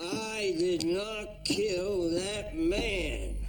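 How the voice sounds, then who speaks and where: Over clear background noise, a man puts on a character voice pitched high. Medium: short film. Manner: gruff, halting.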